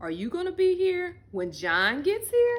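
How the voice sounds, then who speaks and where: This put-on character voice is shrill and moves along at a moderate pace. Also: woman, extremely high pitch for a woman. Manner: slow.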